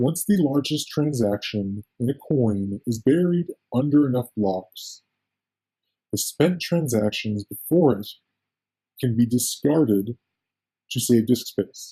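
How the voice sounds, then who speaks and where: A man speaks very slowly with long, frequent pauses and lively intonation. His medium-pitched voice is somewhat breathy, with a dry, close sound and no echo. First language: not English. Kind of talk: technical document reading. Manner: occasional stutters.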